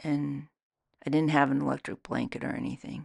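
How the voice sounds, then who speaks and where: The background stays quiet. A woman talks at a fairly slow pace. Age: 60s. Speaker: soap maker and author. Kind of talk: casual monologue. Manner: musing.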